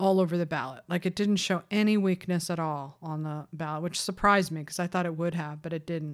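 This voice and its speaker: A plain, everyday voice from a woman, fairly low-pitched, at a moderate pace. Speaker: awards-season podcast host and website editor. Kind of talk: casual chat. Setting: video call.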